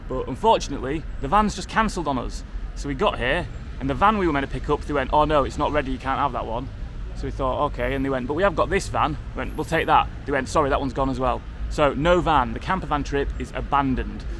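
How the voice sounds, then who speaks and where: Amid noticeable background noise and audible room echo, a man with a northern English accent talks very fast. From Yorkshire, northern England. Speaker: travel vlogger. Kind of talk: casual vlog narration. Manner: casual, chatty.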